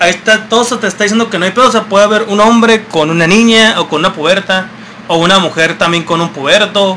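A man with a Mexican accent speaks in a raised, projected voice at a high pitch and very fast pace. Noticeable background noise is heard behind him. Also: ordinary pitch variation. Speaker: podcast co-host. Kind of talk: casual chat.

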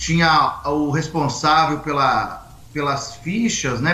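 A man with a fairly high voice speaks amid audible room echo. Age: 40s. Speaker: Umbanda priest. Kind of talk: casual interview on a livestream. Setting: video livestream.

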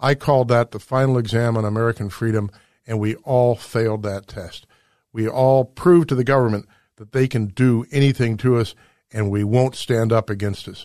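At a moderate pace, a man with a dark, mellow tone and medium pitch makes big swings in loudness, recorded with a dry, close sound with no echo against a quiet background. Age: 60s. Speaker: radio host. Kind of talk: radio monologue. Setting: studio. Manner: animated.

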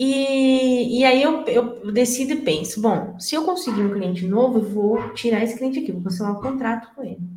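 A woman's fairly high voice with lively intonation, a moderate pace, hardly any pauses, and audible room echo. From interior of São Paulo state, Brazil. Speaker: IT entrepreneur. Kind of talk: casual chat.

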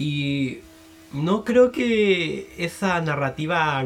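Very wide pitch swings in a Chilean accent. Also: man. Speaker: podcast host and music reviewer. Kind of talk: solo album review monologue. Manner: casual, hesitant with fillers.

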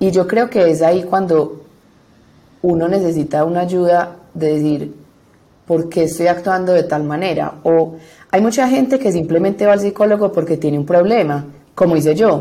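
At a moderate pace, a woman talks in a fairly low pitch with a dark, mellow tone and ordinary pitch variation. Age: 20s. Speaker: law student. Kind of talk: testimony.

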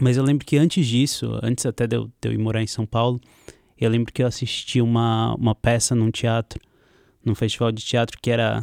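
Monotone and flat, a man talks at a fairly quick pace in a very clean recording with a silent background and a dry, close sound with no echo. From Santos, Brazil. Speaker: filmmaker. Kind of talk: casual chat. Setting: studio.

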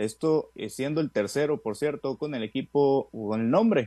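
Recorded with a dry, close sound and no echo, a man speaks in a dark, mellow tone with lively intonation. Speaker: sports news reporter. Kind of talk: sports news reading. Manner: brisk, upbeat, formal broadcaster cadence.

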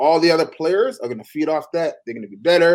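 A man's fairly high voice with a Toronto accent, lively intonation and a fairly quick pace. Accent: Toronto Canadian English. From Canada (Toronto). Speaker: former basketball player. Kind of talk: casual chat.

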